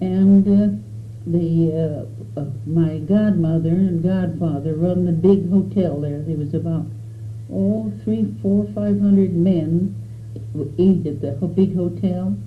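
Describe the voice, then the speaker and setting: In an American accent, a woman with a very deep, low pitch talks at a very slow pace with very wide pitch swings, amid noticeable background noise and audible room echo. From Arizona, US Southwest. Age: 80s+. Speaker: elderly pioneer recounting her life. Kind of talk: oral history interview. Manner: halting, with frequent hesitations.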